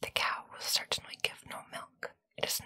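Whispering at a fairly slow pace. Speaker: storyteller. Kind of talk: storytelling read-aloud. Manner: soft, hushed ASMR reading voice.

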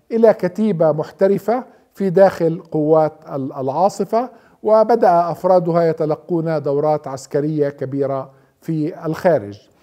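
A man speaks very slowly in a fairly high pitch with a dark, mellow tone. His pitch variation is ordinary, and the background is quiet. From Palestine, Nablus; Palestine. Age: 60s. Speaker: author and researcher. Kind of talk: scripted narration. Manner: measured, with pauses. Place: home room. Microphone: lapel.

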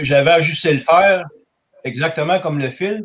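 A man speaks with a Quebec accent. His pace is very slow. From Quebec, Canada. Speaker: farrier. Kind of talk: technical discussion. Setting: video call.

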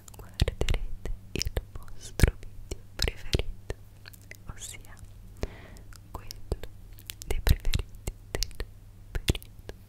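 A woman's whisper at a very slow pace, broken by long, frequent pauses. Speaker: beauty vlogger. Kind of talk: casual vlog chat. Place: home room.

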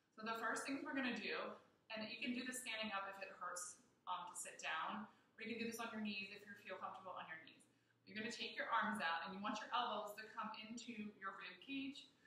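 A woman with a bright, sharp tone and ordinary pitch variation speaks at a fairly quick pace, with light background noise and audible room echo. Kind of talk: tutorial. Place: gym. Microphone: camera far.

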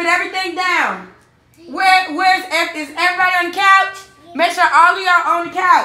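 A woman's extremely high, bright, sharp voice is raised and projected at a fairly quick pace, with audible room echo. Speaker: family YouTuber. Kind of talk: prank video. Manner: animated. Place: home room. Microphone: phone near.

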